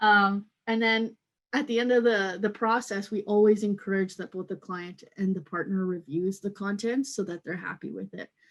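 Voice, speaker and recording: A woman talks at a moderate pace with ordinary pitch variation against a quiet background, in a normal speaking voice. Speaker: content marketing manager. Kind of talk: webinar product presentation.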